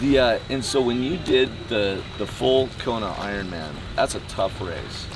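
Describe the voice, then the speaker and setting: There is noticeable background noise as a man speaks at a fairly slow pace with lively intonation. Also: medium pitch for a man. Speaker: interviewer, amateur triathlete. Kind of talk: interview questions.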